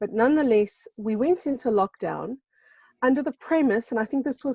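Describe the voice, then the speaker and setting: Dark, mellow tone from a woman at a moderate pace, ordinary pitch variation, dry, close sound with no echo, and a quiet background. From South Africa. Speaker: spiritual guest speaker. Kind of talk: casual chat.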